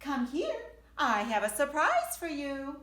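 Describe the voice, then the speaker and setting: In a put-on character voice, a woman projects a raised, high-pitched voice with a warm tone. Her pace is fairly slow. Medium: read story. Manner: warm, affectionate.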